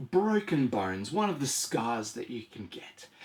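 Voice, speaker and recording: Somewhat breathy and speaking at a fairly slow pace, a man with an Australian accent swings his pitch very widely. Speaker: board game reviewer. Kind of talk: product review. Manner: animated.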